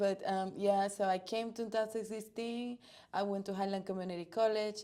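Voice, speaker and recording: A woman with a Spanish accent, a dark, mellow tone, a medium pitch and monotone, flat intonation. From Dominican Republic. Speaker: volleyball coach. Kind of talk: interview.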